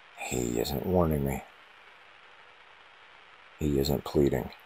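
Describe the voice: A man speaks slowly at an extremely low pitch, with vocal fry. His tone is dark and mellow, and his pitch varies in an ordinary way.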